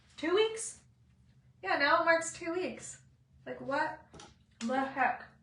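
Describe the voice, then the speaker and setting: With audible room echo, a woman speaks at a very slow pace in a high, bright, sharp voice, her intonation lively and her pauses long and frequent. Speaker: beauty vlogger. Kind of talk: makeup tutorial chat. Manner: casual, chatty.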